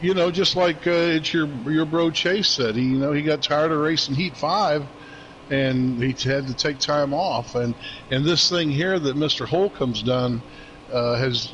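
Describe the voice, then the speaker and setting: A man with a fairly high pitch speaks at a fairly slow pace, with ordinary pitch variation, very even loudness and noticeable background noise. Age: 60s. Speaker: sim racing league driver. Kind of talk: casual chat. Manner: halting, many fillers.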